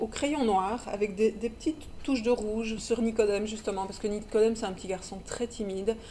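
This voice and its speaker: Over noticeable background noise, a woman with a Belgian accent speaks at a fairly high pitch. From Belgium. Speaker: children's book publisher. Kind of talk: casual interview. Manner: halting, many repetitions.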